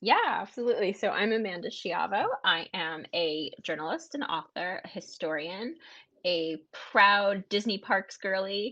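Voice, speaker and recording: A normal speaking voice from a woman with an American accent, medium in pitch, fairly slow in pace and lively in intonation. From USA. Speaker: author and historian. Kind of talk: interview. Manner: conversational, with some stumbles.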